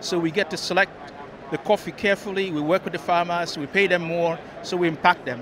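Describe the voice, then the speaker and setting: A man talks at a fairly quick pace in a high pitch with ordinary pitch variation. The sound is dry with no echo, though noticeable background noise is present. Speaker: guest. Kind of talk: interview answer. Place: hall. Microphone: handheld.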